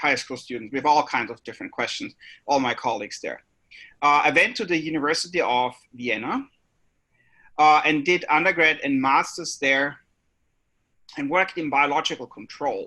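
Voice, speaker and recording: In an Austrian accent, a man with a fairly high pitch and a bright, sharp tone speaks at a moderate pace on a very clean recording with a silent background. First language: German. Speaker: biology professor. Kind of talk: panel introduction.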